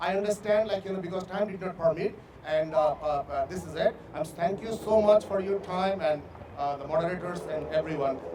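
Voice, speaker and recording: Through noticeable background noise, a man with a non-native accent speaks at a fairly quick pace and a high pitch, with ordinary pitch variation. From immigrant to US, not native English speaker. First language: not English. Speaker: city council candidate. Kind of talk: closing statement at candidate forum. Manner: halting, many hesitations and repeats.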